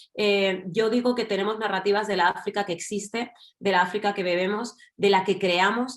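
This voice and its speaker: A woman speaks in a Madrid accent at a fairly quick pace. Her medium pitch carries fairly even intonation. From Spain, Madrid. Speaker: writer and journalist. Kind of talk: panel discussion. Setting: online event.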